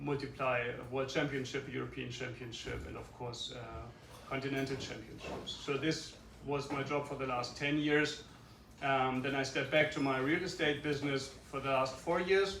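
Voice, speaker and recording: In a room with audible echo and noticeable background noise, a man with a German accent speaks at a moderate pace, his pitch fairly high and his intonation fairly even. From Germany, Kiel. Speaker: yacht club race director. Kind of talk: self-introduction talk. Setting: club luncheon with audience. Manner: halting, many fillers.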